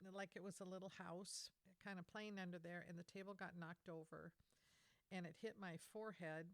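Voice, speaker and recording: A woman with an American accent speaks at medium pitch, her intonation flat and monotone. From US Pacific Northwest. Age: 70s. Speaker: missionary. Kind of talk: testimony. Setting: podcast interview. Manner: halting.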